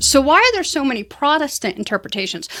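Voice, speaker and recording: A woman is heard in a very clean recording with a silent background and a dry, close sound with no echo. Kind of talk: channel intro pitch. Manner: fast-talking; unpolished.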